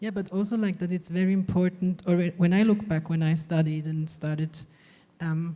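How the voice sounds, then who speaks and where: Speaking fairly quickly with a non-native accent, this somewhat breathy voice has a dark, mellow tone and fairly even intonation. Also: woman. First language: not English. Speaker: visual artist. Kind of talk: panel discussion.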